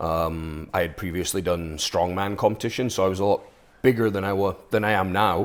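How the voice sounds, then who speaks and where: A man's very deep, low voice with a slight Scottish accent, at a moderate pace, in a very clean recording with a silent background. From Scotland, Aberdeen. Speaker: HVAC business owner, former strongman. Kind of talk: interview.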